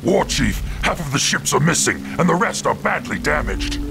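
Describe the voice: A man does a put-on character voice at a fairly high pitch with vocal fry and big pitch swings, at a moderate pace. Clear music plays in the background.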